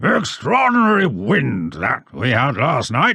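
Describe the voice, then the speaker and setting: A man puts on a booming character voice at a medium pitch, speaking at a fairly slow pace. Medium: read story. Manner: blunt, hearty.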